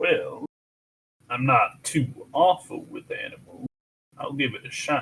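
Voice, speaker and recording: Someone delivers a put-on character voice at a fairly slow pace, with long, frequent pauses. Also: man. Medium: actual play. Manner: folksy, drawling.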